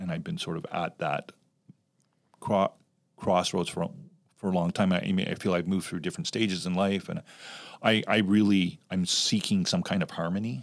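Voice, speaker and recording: Speaking with a Canadian accent, a man in a fairly low voice talks at a moderate pace with ordinary pitch variation and long, frequent pauses, on a very clean recording with a silent background. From Canada. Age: 60s. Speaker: youth ministry director. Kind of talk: casual chat.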